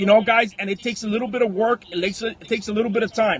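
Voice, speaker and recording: A man speaks in an animated tone. Noticeable background noise sits behind him. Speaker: online selling coach. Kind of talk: live stream talk to viewers. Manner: high energy, animated.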